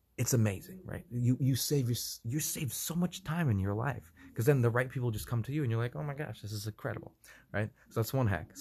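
Somewhat breathy, a man talks at a very fast pace and a medium pitch. The recording is very clean, with a silent background. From Russia. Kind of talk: casual chat. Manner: halting, many repeated words.

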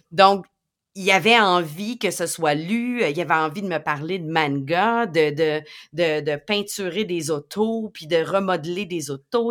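The speech has a very slow pace, ordinary pitch variation and a Quebec accent. The recording is very clean, with a silent background. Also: woman. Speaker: educational technology podcast co-host. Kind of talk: educational podcast talk.

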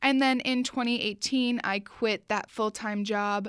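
The speech moves at a fairly slow pace with fairly even intonation, captured in a very clean recording against a silent background. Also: woman. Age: 20s. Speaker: podcast host and marketing entrepreneur. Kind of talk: solo podcast monologue. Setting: studio.

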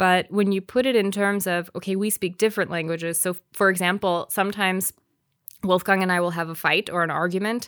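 A woman speaks at a moderate pace in an ordinary speaking voice, medium in pitch, with fairly even intonation. The sound is dry and close with no echo, on a very clean recording against a silent background. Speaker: podcast co-host. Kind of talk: casual chat.

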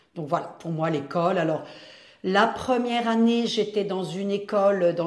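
A woman talks amid audible room echo and noticeable background noise. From France, Mayenne (rural west). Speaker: retired primary school teacher. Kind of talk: life story interview.

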